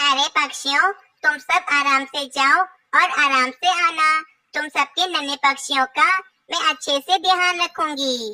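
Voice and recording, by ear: A female-sounding, cartoonish character voice, high-pitched and fairly slow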